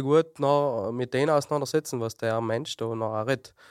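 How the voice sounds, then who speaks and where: Speaking with a South Tyrolean accent at a fairly quick pace, a man uses a medium pitch and ordinary pitch variation in a very clean, dry, close recording with no echo and a silent background. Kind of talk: casual chat.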